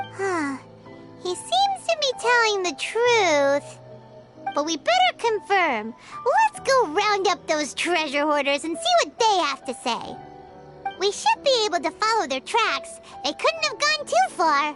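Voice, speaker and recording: A put-on character voice at an extremely high pitch goes at a fairly slow pace over clear background music. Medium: machinima. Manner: lively, eager.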